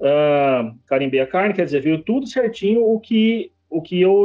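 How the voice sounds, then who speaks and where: A man speaks fairly slowly, his intonation lively. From Brazil, interior of São Paulo state (Jaú). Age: 30s. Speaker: butcher shop owner. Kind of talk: interview.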